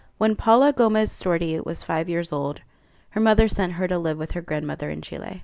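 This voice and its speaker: With a plain, everyday voice, a woman speaks at a moderate pace in a fairly low pitch and with lively intonation. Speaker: podcast host. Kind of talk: scripted intro and outro narration.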